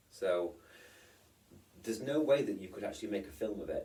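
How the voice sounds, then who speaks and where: A man speaks with a British accent. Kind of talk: casual vlog talk to camera. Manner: rambling, hesitant.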